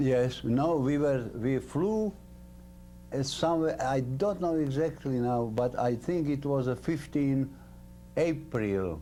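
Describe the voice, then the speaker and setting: In a Slovak accent, a man speaks at a very slow pace and medium pitch, with a dark, mellow tone, ordinary pitch variation and very even loudness. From central Slovakia. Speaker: war veteran. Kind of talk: interview. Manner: halting.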